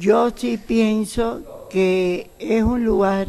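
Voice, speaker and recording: A woman with ordinary pitch variation. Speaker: ballet teacher. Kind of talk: interview answer. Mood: calm, reflective. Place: hall. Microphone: webcam.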